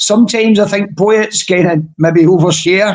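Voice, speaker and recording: The voice has a Scottish accent and ordinary pitch variation. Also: man. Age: 60s. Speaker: poetry slam judge. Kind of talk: casual judging feedback.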